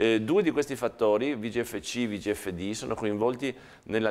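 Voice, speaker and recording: This man talks at a moderate pace, his fairly low pitch showing ordinary variation. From Italy. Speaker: professor; university lecturer. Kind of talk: lecture. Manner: halting, repeating words. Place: classroom.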